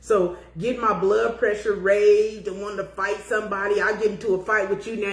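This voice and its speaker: A woman talks fairly quickly in an animated tone at a medium pitch. Noticeable background noise runs behind her. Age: 50s. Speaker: podcast host. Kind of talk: casual chat.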